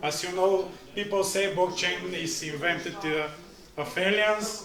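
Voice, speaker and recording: In a Bulgarian accent, a man speaks at a fairly slow pace with ordinary pitch variation, amid noticeable background noise and audible room echo. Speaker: blockchain trainer. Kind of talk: pitch presentation. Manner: halting.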